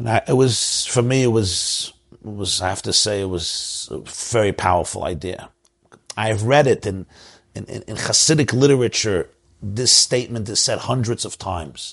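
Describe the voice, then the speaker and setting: A somewhat breathy man speaks at medium pitch and a moderate pace with ordinary pitch variation. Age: 40s. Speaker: rabbi. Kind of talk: live online discussion. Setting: online event with audience.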